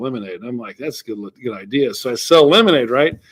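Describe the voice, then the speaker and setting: With an American accent, a man speaks at a fairly quick pace and fairly high pitch in an unremarkable speaking voice, his pitch varying in an ordinary way. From US South, Georgia. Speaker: entrepreneur and author. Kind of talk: interview. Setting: airport, remote call. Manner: repeats words, some false starts.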